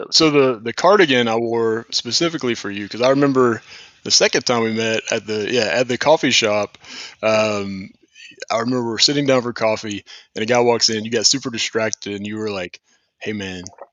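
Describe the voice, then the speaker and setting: Speaking at a fairly quick pace with a Southern US accent, a man holds a medium pitch with ordinary variation. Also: big swings in loudness. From US South, St. Petersburg, Florida. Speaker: company founder and show host. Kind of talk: casual chat.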